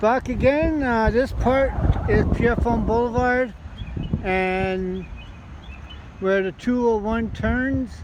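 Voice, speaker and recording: Through noticeable background noise, a man with an extremely high pitch and ordinary pitch variation talks very slowly, with long, frequent pauses. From Montreal, Quebec. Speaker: lawn care worker, vlogger. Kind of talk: casual vlog narration. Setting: outdoors. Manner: casual, halting with fillers.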